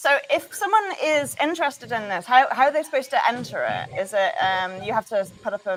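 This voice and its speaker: Noticeable background noise under a woman's fairly quick delivery. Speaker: show host. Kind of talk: interview.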